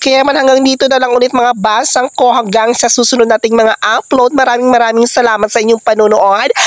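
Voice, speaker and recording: The tone is animated and playful, with hardly any pauses at a fairly quick pace. Background noise is noticeable. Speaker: vlogger. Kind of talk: casual vlog narration. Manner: animated, playful.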